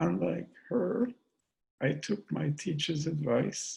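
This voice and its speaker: A man with a fairly high pitch speaks at a very slow pace with lively intonation. His tone is dark and mellow, with vocal fry. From Austria. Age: 80s+. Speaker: theoretical chemist. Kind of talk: talk at a virtual book event.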